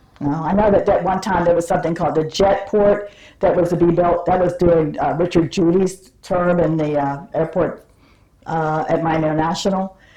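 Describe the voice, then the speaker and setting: At a moderate pace, a woman with a fairly low pitch and a dark, mellow tone keeps her intonation fairly even. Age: 70s. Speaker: retired airport operations employee. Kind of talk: interview answer, oral history.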